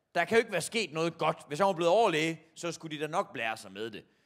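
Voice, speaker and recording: A high-pitched man speaks with lively intonation. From Jutland, Denmark (Horsens area); Denmark. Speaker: comedian. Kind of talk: stand-up. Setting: stage with audience. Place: stage. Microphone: handheld.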